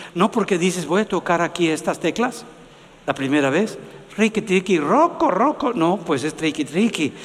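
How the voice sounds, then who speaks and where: A man with a high pitch talks at a moderate pace, using lively intonation and very even loudness. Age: 70s. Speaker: pastor. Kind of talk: sermon.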